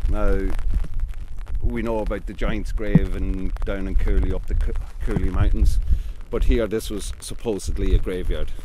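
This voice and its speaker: Over loud background noise, a man speaks at a moderate pace with long, frequent pauses, the sound dry with no echo. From Ireland. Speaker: local historian. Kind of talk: oral history interview answer. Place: open country. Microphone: handheld.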